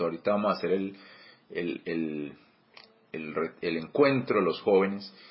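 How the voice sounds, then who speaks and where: A man at a fairly slow pace, fairly low in pitch, with ordinary pitch variation. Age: 40s. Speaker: church teacher. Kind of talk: bible study teaching. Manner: halting, many repetitions and fillers.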